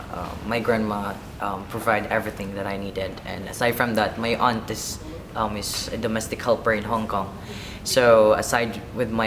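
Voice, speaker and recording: A man speaks at a moderate pace in a fairly low, monotone voice with flat intonation. Noticeable background noise and audible room echo come through. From Philippines. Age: 20s. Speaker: office assistant and band vocalist. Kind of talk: documentary interview. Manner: hesitant, many fillers and repeats.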